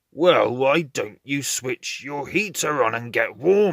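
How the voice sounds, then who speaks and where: Growling in a put-on character voice, a man with a fairly high pitch speaks at a fairly slow pace with lively intonation. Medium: read story.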